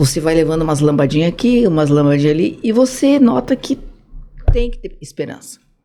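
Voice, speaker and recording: Over music in the background, a woman talks at a moderate pace with a fairly low pitch. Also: long, frequent pauses. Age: 60s. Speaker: social project founder. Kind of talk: podcast interview.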